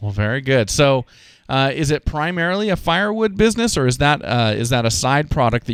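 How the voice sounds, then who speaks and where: A man with an ordinary speaking voice talks at a fairly quick pace with lively intonation, recorded very cleanly against a silent background. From Idaho, US. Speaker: podcast host, farmer. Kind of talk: casual interview.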